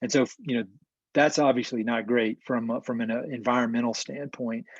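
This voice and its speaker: Against a quiet background, a man with a Southern US accent speaks at a medium pitch and moderate pace with fairly even intonation. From North Carolina. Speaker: land conservation professional. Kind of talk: webinar presentation. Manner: hesitant with repetitions.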